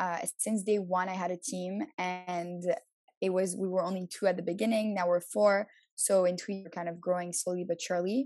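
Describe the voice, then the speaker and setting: A woman with an unremarkable speaking voice keeps her intonation fairly even, talking at medium pitch and a moderate speed. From Montreal, Canada. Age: 20s. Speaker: social media agency owner. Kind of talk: interview.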